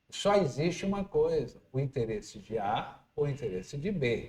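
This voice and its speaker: A somewhat breathy man's voice, fairly high in pitch, with very wide pitch swings at a very slow pace. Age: 60s. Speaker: radio host. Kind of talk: interview.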